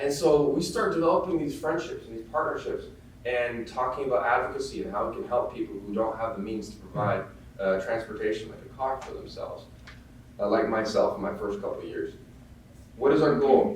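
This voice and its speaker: The man's loudness swings widely as he talks at a fairly quick pace, with audible room echo and noticeable background noise in the recording. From Netherlands, Amsterdam. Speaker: bike shop manager. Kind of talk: presentation to an audience. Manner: hesitant, many fillers.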